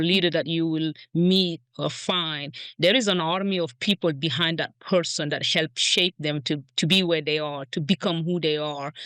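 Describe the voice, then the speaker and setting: A woman's fairly low, bright, sharp voice with a non-native accent, ordinary pitch variation and a moderate pace, in a dry, close, echo-free recording with a quiet background. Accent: foreign. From outside the US. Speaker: grocery store executive. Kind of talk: podcast interview. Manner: halting, many repeated words.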